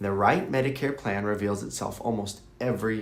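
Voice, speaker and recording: This man has an ordinary speaking voice with fairly low pitch. He talks at a moderate pace with ordinary pitch variation. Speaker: Medicare broker. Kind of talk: informational explainer to camera.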